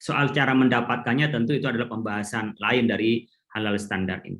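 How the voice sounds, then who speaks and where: Someone with an Indonesian accent talks at a very fast pace. The pitch varies in an ordinary way. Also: man. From Madura, Indonesia. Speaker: Islamic scholar. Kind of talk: conference talk.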